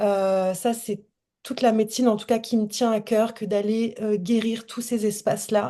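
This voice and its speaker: Over a quiet background, a woman speaks at a fairly slow pace with a fairly high pitch and a dark, mellow tone. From France. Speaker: holistic coach. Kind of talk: casual chat. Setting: video call.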